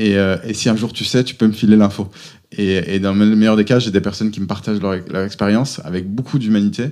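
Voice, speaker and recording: This is an unremarkable speaking voice with fairly even intonation. It moves at a fairly quick pace. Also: man. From France, Auvergne. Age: 30s. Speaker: entrepreneur. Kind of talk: interview.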